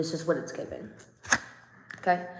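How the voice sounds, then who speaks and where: Audible room echo surrounds a woman as she talks. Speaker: tarot reader. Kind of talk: tarot reading. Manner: casual, conversational.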